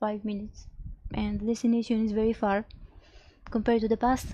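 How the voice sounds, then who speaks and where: A woman with a non-native accent, a fairly high pitch, a somewhat breathy sound and a dark, mellow tone. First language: not English. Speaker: streamer. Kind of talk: casual live stream talk. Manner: halting.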